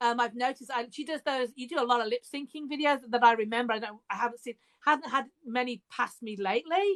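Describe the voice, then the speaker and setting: A woman with an English accent speaks at a very fast pace in a high pitch. Her pitch varies in an ordinary way, and the sound is dry and close with no echo. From England, Birmingham. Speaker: author and podcast host. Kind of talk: casual chat. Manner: hesitant, many fillers.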